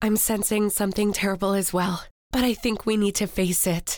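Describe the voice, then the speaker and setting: A raspy, put-on character voice at a moderate pace, monotone and flat, with very even loudness. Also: woman, medium pitch for a woman. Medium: read story. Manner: terse, intense.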